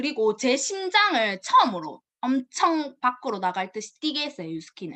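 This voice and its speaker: This woman speaks at a moderate pace. Her pitch swings very widely. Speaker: network marketing distributor. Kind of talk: personal story presentation. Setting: video call.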